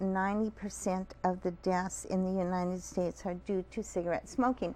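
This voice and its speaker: Moderately paced and medium-pitched, a woman talks in a plain, everyday voice. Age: 60s. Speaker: smoking cessation counselor and hypnotist. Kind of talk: TV interview.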